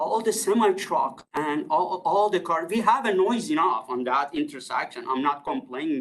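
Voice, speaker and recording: Fairly slow pace in a non-native accent. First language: not English. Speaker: resident addressing city committee. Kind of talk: public delegation statement. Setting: council meeting room at podium. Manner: halting.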